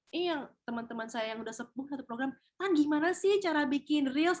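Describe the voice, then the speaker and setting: Pitch swings very widely as this woman talks. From Indonesia, Padang (West Sumatra). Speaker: TV host and beauty pageant winner, webinar speaker. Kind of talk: webinar talk, casual advice. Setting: online webinar.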